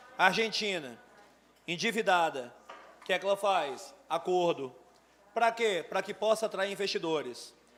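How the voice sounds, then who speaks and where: A man with a high pitch talks at a moderate pace. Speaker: teacher. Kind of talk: lecture. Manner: animated.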